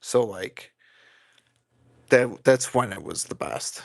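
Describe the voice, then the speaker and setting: In an American accent, a man speaks at a medium pitch. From US Midwest, Illinois (South Side Chicago). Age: 30s. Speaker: fragrance YouTuber. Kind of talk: live stream casual chat. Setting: live stream with chat. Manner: animated.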